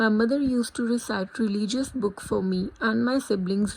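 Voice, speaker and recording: A woman speaks in a Punjabi accent, her fairly high voice somewhat breathy. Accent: Indian English, Punjabi. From India, Punjab. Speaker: student. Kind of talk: scripted narration.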